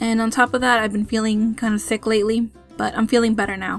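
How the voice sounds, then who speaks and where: A woman with a fairly high pitch at a fairly quick pace, over background music. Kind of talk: casual product review to camera.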